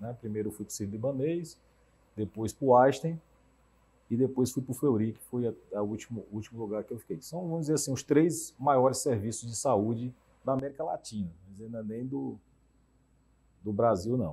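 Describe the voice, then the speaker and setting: At a medium pitch, a man talks at a moderate pace in a dark, mellow, somewhat breathy tone with ordinary pitch variation. His loudness swings widely, and he leaves long, frequent pauses. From Teresina, Piauí, Brazil; Piauí, Brazil. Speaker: cardiologist and health insurer executive; interview guest. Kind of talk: TV debate interview. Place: studio. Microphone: lapel.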